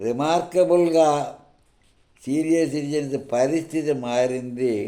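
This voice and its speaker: A man's fairly high-pitched voice with a dark, mellow tone and ordinary pitch variation. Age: 80s+. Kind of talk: speech.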